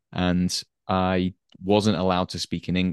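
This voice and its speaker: A man's very deep, low voice with an English accent, dry and close with no echo, over a quiet background. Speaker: English teacher and podcast co-host. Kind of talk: casual chat.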